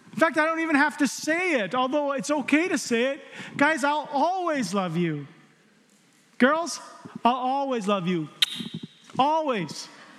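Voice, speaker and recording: A man with an extremely high pitch talks in an animated tone, his intonation lively. He goes at a fairly slow pace with long, frequent pauses over noticeable background noise. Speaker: preacher. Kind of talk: sermon. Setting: church with live congregation. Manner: warm, conversational.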